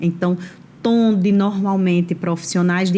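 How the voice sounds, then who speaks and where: A woman speaks at medium pitch with a dark, mellow tone. Her voice is somewhat breathy. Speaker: HR professional and entrepreneur. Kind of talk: interview. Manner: slow, measured.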